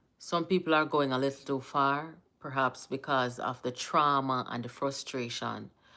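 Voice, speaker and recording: A woman with a Jamaican accent speaks at a fairly slow pace in a very deep, low pitch. Her intonation is fairly even. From Jamaica, Kingston. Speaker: political commentator, livestream host. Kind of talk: casual live-stream commentary. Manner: mixes Jamaican Patois and English.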